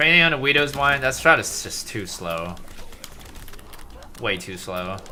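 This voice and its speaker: With long, frequent pauses, a man's voice makes very wide pitch swings and big swings in loudness, over noticeable background noise and audible room echo. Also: medium pitch for a man. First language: Mandarin. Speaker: gaming streamer. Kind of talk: live stream commentary.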